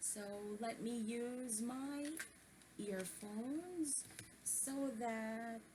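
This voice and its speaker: Soft-spoken and fairly high-pitched, a woman talks at a very slow pace with ordinary pitch variation and long, frequent pauses, amid audible room echo. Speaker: book-reading vlogger. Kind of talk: reading aloud with commentary. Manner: hesitant, many fillers.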